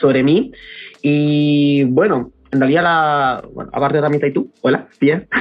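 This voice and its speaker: The man's pitch is fairly high. He speaks fairly slowly with fairly even intonation. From Chile, Santiago. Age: 30s. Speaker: mushroom product entrepreneur. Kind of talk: casual interview chat.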